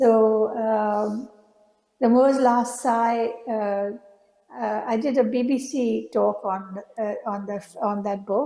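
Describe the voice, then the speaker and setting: With an Indian accent, a woman of fairly high pitch speaks very slowly in a dark, mellow tone, leaving long, frequent pauses, with fairly even intonation and audible room echo. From India (Bombay). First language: Indian language (not English). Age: 70s. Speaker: artist. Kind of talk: public conversation. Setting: stage with audience. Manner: halting.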